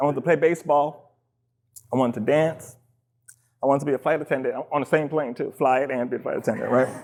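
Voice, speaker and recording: This man has a fairly high pitch and fairly even intonation. He speaks at a very fast pace but leaves long, frequent pauses. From New York (Queens), Trinidadian parents. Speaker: dancer and choreographer, public speaker. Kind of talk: personal talk to an audience. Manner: casual, conversational.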